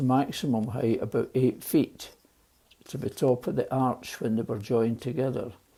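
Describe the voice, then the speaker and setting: A man with a Glaswegian accent speaks at a moderate pace. His voice is medium in pitch, with a dark, mellow tone and ordinary pitch variation. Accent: Glaswegian Scottish. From Scotland, Glasgow East End. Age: 80s+. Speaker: elderly storyteller. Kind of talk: personal storytelling. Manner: halting.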